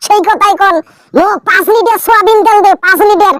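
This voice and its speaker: An extremely high, squeaky, cartoonish character voice speaks. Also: moderate pace. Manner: self-satisfied, impatient.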